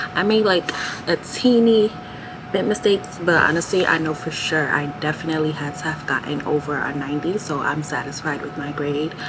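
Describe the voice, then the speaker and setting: A woman with a very deep, low pitch speaks at a fairly quick pace over noticeable background noise. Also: ordinary pitch variation. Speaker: physician assistant student and vlogger. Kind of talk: vlog narration. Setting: library. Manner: talking low; casual, filler-heavy.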